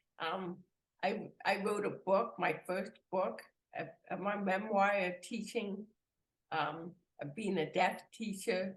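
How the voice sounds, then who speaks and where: A woman speaks at a fairly slow pace. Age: 60s. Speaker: high school teacher. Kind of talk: interview. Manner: halting, many fillers.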